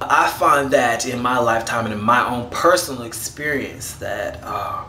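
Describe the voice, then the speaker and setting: Noticeable background noise and audible room echo surround the recording. The speaker is a man with a medium pitch. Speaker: vlogger. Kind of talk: casual video response monologue. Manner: fast.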